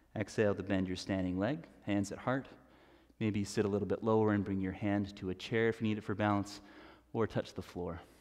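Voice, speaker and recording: A man talks at a fairly quick pace in a calm tone. His intonation is monotone and flat. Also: fairly low pitch for a man, quiet background. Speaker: yoga instructor. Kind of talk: guided yoga class, cueing poses and breath. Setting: streaming live from a yoga studio. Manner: instructional, calm and steady, with a brisk rhythmic cadence. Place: home room.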